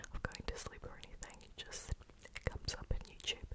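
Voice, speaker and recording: A woman is whispering. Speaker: ASMR creator. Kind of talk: ASMR whisper video. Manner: whispered. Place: home room. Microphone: studio mic.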